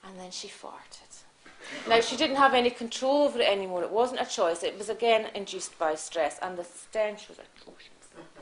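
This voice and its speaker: Against noticeable background noise, a woman speaks at a moderate pace with a fairly high pitch. Her intonation is lively, and her loudness swings widely. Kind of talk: comic storytelling performance.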